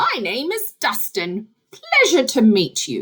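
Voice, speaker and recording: Putting on a character voice, a woman talks fairly slowly at a high pitch. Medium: read story.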